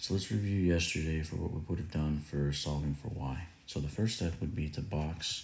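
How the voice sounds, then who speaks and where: Audible room echo around a man's very deep, low, somewhat breathy voice at a moderate pace. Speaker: math teacher. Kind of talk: tutorial.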